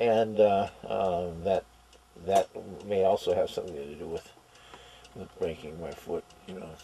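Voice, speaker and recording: A man at a fairly slow pace, with long, frequent pauses, big swings in loudness, ordinary pitch variation and noticeable background noise. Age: 60s. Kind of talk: interview answer. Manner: rambling, hesitant.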